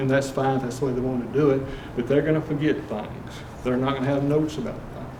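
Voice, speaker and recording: Noticeable background noise and audible room echo around a medium-pitched male voice. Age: 70s. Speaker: home inspector. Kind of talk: talk at investor club meeting.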